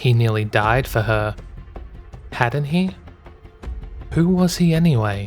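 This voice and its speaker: Someone with an Australian accent talks at a fairly slow pace as music plays in the background. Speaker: fanfiction reader. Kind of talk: read story.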